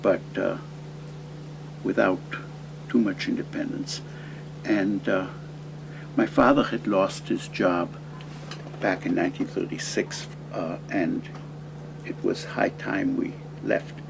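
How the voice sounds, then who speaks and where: A man with an American accent at a very slow pace, long, frequent pauses, noticeable background noise behind him. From California. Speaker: anthropology professor. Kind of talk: interview. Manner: halting, many fillers.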